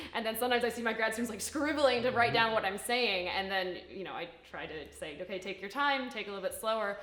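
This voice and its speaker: Amid noticeable background noise and audible room echo, a woman speaks very fast in a fairly high voice with ordinary pitch variation. Her loudness swings widely. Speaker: structural biology lab head. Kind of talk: casual chat.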